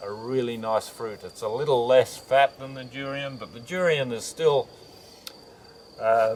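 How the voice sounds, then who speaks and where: Over noticeable background noise, a man with an Australian accent talks at a moderate pace. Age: 70s. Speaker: naturopath and chiropractor. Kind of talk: interview answer.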